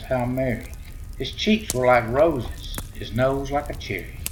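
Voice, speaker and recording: At a fairly slow pace, a medium-pitched man with a Southern US accent speaks amid noticeable background noise. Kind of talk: poem reading. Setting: by a fireplace.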